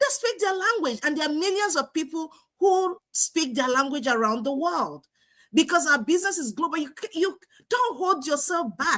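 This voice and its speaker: A woman with an African accent and an extremely high pitch, animated and bright, sharp in tone, with very wide pitch swings at a moderate pace. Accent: non-American African English. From Nigeria. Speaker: online business coach. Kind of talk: live stream talk.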